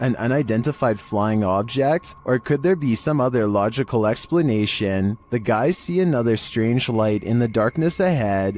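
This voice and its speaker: With music playing in the background, a man talks at a fairly slow pace and medium pitch, his intonation lively. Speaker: YouTube narrator. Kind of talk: scary video countdown narration.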